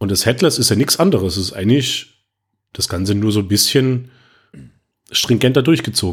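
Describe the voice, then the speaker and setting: A man with a medium pitch talks fairly quickly, somewhat breathy. He leaves long, frequent pauses. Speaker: podcast co-host, web developer. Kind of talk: casual tech discussion.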